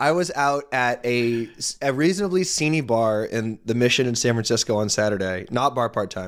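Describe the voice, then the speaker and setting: Delivered at a moderate pace, it is a plain, everyday voice with lively intonation. The recording is very clean, with a silent background. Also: man, medium pitch for a man. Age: 30s. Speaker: sports podcast co-host. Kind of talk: casual chat.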